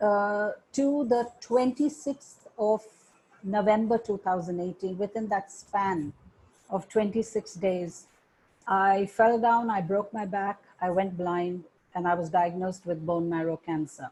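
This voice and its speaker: A woman speaks at a fairly slow pace in a dark, mellow tone that is somewhat breathy, with ordinary pitch variation. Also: medium pitch for a woman. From India. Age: 60s. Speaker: meditation teacher. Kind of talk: interview.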